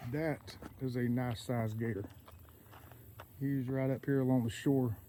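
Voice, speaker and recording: Speaking at a moderate pace with a Southern US accent, a man uses a medium pitch, ordinary pitch variation, and long, frequent pauses. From southeastern Georgia, US South. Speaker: outdoors vlogger. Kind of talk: casual walking vlog narration. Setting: outdoors on a trail. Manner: audible mouth breathing.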